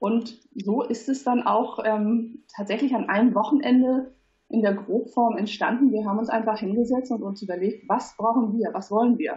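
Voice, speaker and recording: A woman's fairly high voice comes out somewhat breathy. She keeps a moderate pace and fairly even intonation. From Hamburg, northern Germany. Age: 30s. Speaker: platform founder. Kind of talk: interview. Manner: hesitant, many fillers.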